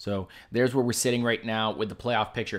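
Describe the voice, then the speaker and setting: On a very clean recording with a silent background, a man talks at a medium pitch. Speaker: sports livestream host. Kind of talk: live stream commentary. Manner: stumbling, self-correcting.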